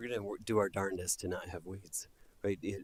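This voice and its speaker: A soft-spoken man with a very deep, low pitch, talking at a very fast pace. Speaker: solar project applicant. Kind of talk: public hearing testimony. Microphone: too quiet, far from mic.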